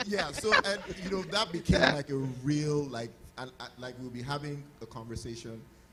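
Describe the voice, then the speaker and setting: A man with a fairly high pitch speaks at a moderate pace, his intonation lively and his loudness swinging widely. Noticeable background noise is present. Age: young. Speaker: husband sharing about marriage. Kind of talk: casual chat.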